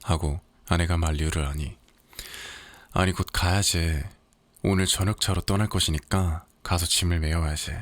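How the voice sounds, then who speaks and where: Soft-spoken and gentle in tone, a man talks at a fairly slow pace with long, frequent pauses and a very deep, low pitch. His loudness is very even and his intonation fairly even. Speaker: audiobook narrator. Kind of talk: sleep story reading of literary fiction. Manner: soft-spoken, gentle.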